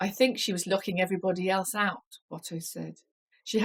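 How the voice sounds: A natural reading voice with fairly even intonation and a quiet background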